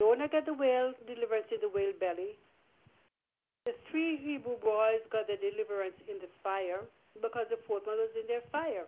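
A normal speaking voice from a woman, fairly high in pitch and moderate in pace, with ordinary pitch variation. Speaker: prayer line participant. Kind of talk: exhortation and scripture reading. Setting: phone call.

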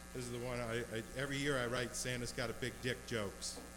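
Over audible room echo, a man talks at a fairly quick pace with a medium pitch. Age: 40s. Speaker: stand-up comedian. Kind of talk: stand-up. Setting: bar stage with small audience. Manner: halting, repeats words.

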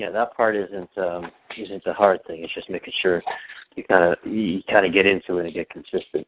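With big swings in loudness, a man talks at a moderate pace, his fairly low pitch held in fairly even intonation. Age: 40s. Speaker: therapy client. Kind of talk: therapy session.

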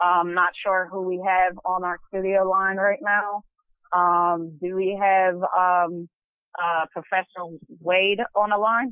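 A woman speaks at a very slow pace and a medium pitch. Her intonation stays monotone and flat. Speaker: radio co-host. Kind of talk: talk radio. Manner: halting.

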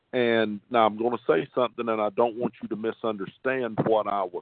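A man's flat, monotone delivery at a moderate pace, with a Southern US accent. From North Carolina. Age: 50s. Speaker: cabinet maker. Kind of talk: testimony.

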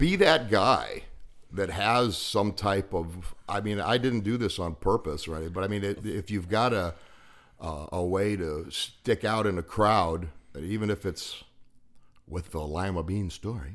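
A man with an American accent uses an ordinary speaking voice at a fairly low pitch, with ordinary pitch variation and a fairly slow pace. The recording is very clean, with a silent background. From western Pennsylvania. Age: 50s. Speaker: recovering alcoholic, former auto mechanic. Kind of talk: casual storytelling chat.

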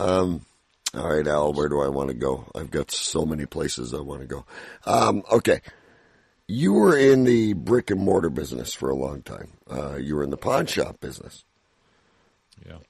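A man with a Canadian accent and a very deep, low pitch, vocal fry, lively intonation, a moderate pace, long, frequent pauses and big swings in loudness. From Canada. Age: 50s. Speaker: radio host. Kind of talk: interview. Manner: excitable; halting.

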